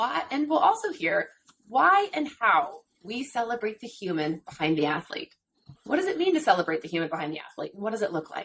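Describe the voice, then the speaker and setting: A woman with an American accent and a fairly high pitch swings very widely in pitch and loudness alike. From central California, US. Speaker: retired pro athlete, podcast co-host. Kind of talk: podcast intro.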